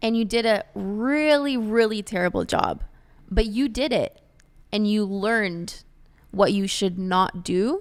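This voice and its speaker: A woman uses an ordinary speaking voice, pitched fairly high with ordinary pitch variation, and she moves at a fairly slow pace. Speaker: podcast host and realtor. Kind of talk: casual chat.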